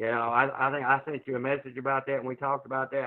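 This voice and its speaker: Someone speaks at a fairly quick pace with an Arkansas accent. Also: man. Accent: Southern US (Arkansas). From Arkansas, US South. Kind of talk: testimony.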